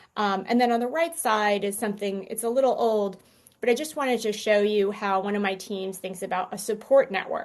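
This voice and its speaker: With ordinary pitch variation, a woman speaks at a fairly high pitch and a fairly quick pace. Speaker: conference speaker. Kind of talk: conference presentation. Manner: fast.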